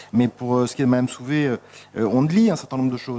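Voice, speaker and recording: A man at a medium pitch and very fast pace, ordinary pitch variation, and noticeable background noise. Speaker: municipal councillor. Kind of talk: council debate. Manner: halting, many hesitations.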